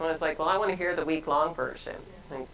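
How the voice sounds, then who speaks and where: A woman speaks with a very deep, low pitch and fairly even intonation. Noticeable background noise can be heard. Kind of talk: casual conversation. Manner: loud.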